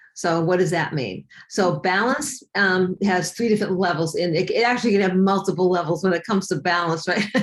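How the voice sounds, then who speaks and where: This woman has an unremarkable speaking voice at a medium pitch. Her pitch variation is ordinary. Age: 60s. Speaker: fitness and weight loss coach. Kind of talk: interview.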